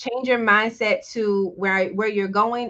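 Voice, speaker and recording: A woman with a fairly high voice talks at a moderate pace with fairly even intonation. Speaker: business founder. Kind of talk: interview.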